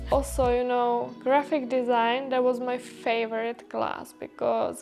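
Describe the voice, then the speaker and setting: Speaking in a Czech accent, a woman uses a high pitch and monotone, flat intonation at a fairly slow pace. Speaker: vlogger, international student. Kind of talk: casual vlog talk to camera. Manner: casual, with filler words.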